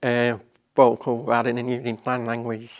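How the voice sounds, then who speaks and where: Fairly slow, medium-pitched speech from a man. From northern England, Salford. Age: 60s. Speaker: deaf artist. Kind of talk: personal testimony. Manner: halting.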